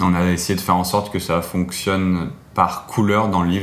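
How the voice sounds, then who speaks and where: A man's very deep, low voice in a monotone, flat delivery at a fairly slow pace, with audible room echo. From France, Auvergne. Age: 20s. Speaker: photographer. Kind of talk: interview monologue. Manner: hesitant, with fillers.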